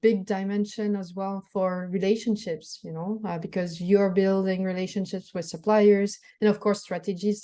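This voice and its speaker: A woman with a French accent at a medium pitch, dark and mellow in tone, at a moderate pace against a quiet background. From France. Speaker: startup founder. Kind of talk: interview. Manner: halting, many fillers.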